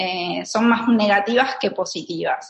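A woman with an Argentine accent at a medium pitch and fairly slow pace, ordinary pitch variation, and audible room echo. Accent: Argentine Spanish (Rioplatense). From Argentina. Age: 30s. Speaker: minimalism content creator. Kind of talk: interview. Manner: hesitant, with frequent fillers and repetitions.

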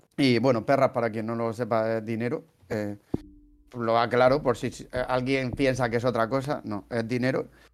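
Here a man talks at a medium pitch and moderate pace with a Murcian accent. His intonation is monotone and flat. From Spain, Murcia. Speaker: podcast host, translator. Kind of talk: casual chat.

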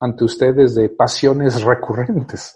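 A man speaks at medium pitch in a somewhat breathy voice. His pace is fairly slow. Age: 50s. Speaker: radio host. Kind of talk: radio monologue. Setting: studio. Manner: halting.

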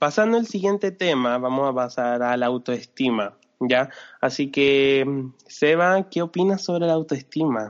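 In a Chilean accent, a man speaks at a moderate pace with a fairly high pitch and ordinary pitch variation. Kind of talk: casual chat.

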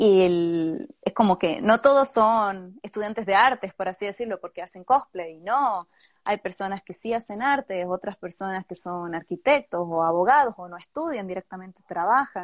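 A woman's normal speaking voice at a moderate pace, lively in intonation, with big swings in loudness and hardly any pauses, in a dry, close sound with no echo against a quiet background. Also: medium pitch for a woman. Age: 20s. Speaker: cosplayer. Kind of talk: interview. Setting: live video stream.

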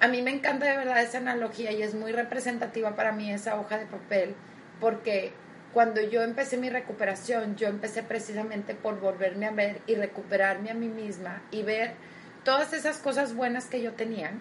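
Noticeable background noise runs under this recording. A woman talks at a fairly quick pace with a fairly high pitch. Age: 30s. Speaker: motivational podcast host. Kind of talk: motivational talk. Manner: warm, enthusiastic.

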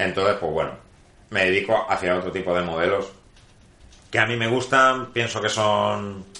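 A man speaks at a fairly slow pace in a fairly low pitch, with audible room echo around him. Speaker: guitar and pickup builder. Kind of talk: interview. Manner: hesitant, many fillers.

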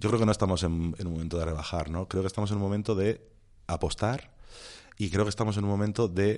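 A man speaks with a dark, mellow tone and ordinary pitch variation. The background is quiet. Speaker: film director. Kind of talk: casual chat. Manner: soft-spoken.

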